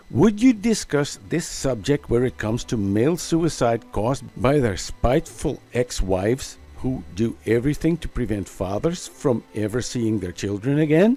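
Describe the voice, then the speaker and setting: A man talks at a moderate pace with very wide swings in pitch. Music plays in the background. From Netherlands. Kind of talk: commentary response video. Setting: home recording, simple microphone.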